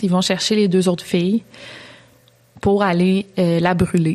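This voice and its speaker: Speaking fairly slowly, a woman keeps a monotone, flat intonation. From Quebec. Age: 20s. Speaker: true crime YouTuber. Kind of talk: storytelling; casual chat.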